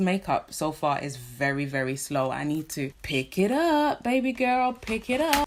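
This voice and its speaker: A woman speaks at a medium pitch. She has a British accent. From London, England. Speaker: vlogger. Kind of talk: casual talk to camera.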